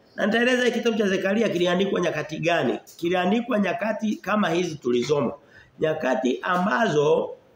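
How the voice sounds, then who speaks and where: Speaking at a moderate pace with hardly any pauses, this voice carries audible room echo over light background noise. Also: man. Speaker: preacher. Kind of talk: sermon. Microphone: phone near.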